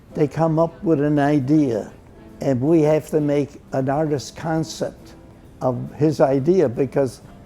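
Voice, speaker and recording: With music in the background, a man with an American accent talks fairly slowly at a fairly high pitch, his intonation fairly even. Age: 80s+. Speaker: World War II veteran, big band drummer. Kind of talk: interview answer. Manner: sharp recall, wide smile, hint of mischief.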